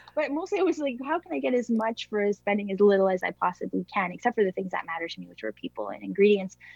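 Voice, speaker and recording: A woman with a Canadian accent at a very fast pace with hardly any pauses, very wide pitch swings and big swings in loudness, in a dry, close sound with no echo over noticeable background noise. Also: medium pitch for a woman. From small-town Ontario, Canada. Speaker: food company founder. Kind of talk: interview.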